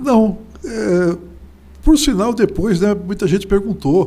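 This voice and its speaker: A man's voice with vocal fry. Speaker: journalist and writer. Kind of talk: interview.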